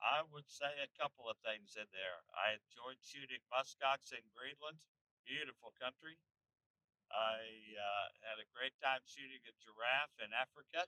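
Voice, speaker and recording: With an ordinary speaking voice, a man talks at a fairly slow pace in a medium pitch and ordinary pitch variation. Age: 60s. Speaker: hunting channel host. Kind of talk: casual vlog chat. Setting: in a truck.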